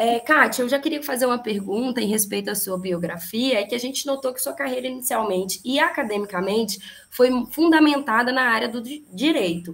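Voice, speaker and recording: A woman's high-pitched voice, fairly quick, with lively intonation and big swings in loudness. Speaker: student discussion moderator. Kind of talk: moderated literary debate, reading bio.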